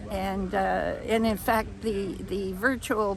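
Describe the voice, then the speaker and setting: A woman's medium-pitched voice comes with audible room echo and noticeable background noise. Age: 80s+. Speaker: amateur radio operator. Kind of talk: interview. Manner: halting.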